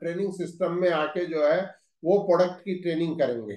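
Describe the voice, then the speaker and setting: A man talks in a high pitch with fairly even intonation. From Haryana, India. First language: Haryanvi (speaking Hindi). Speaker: managing director of a direct-selling company. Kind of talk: corporate training session address.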